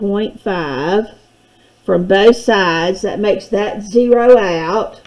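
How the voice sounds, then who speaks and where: The speech moves at a very slow pace with ordinary pitch variation. Noticeable background noise runs underneath. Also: woman. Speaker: math teacher. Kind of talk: tutorial.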